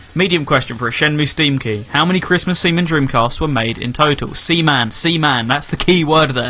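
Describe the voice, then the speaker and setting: Over noticeable background noise, a man with a fairly high pitch talks at a fairly quick pace with hardly any pauses. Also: ordinary pitch variation. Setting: live internet radio show.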